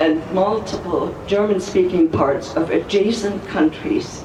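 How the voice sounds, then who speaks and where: Against noticeable background noise, a woman speaks at a fairly slow pace and a medium pitch. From Germany. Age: 80s+. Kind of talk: speech at a rally. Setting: outdoors.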